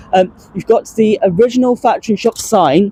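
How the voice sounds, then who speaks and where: A woman with a southern English accent. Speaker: transport vlogger. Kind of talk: walking vlog commentary. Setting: outdoors. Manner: halting, many fillers.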